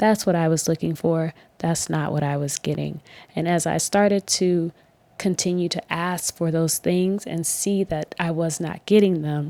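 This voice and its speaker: A soft-spoken woman with a fairly low pitch and a dark, mellow tone talks at a moderate pace with fairly even intonation. The very clean recording is dry and close, with no echo and a silent background. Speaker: mental health podcaster sharing lived experience. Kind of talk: personal testimony monologue.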